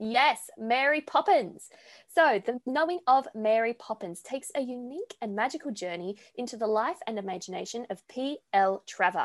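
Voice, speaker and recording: Lively intonation and a moderate pace mark this speaker with an Australian accent, heard dry and close with no echo against a quiet background. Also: woman, high pitch for a woman. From Sydney, Australia. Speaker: podcast co-host. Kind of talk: scripted announcement; interview. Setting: video call.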